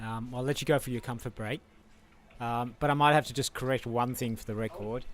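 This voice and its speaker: The speaker has an Australian accent and fairly even intonation at a fairly quick pace. The recording is very clean, with a silent background. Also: man, medium pitch for a man. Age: 60s. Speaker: ultrarunner. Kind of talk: live interview.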